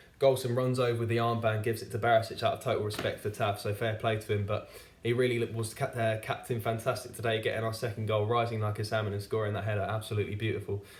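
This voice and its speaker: A man at a medium pitch talks at a very fast pace in a flat monotone. Noticeable background noise sits behind him. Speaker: football fan reviewer. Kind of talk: football match review monologue. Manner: halting, stutters with fillers.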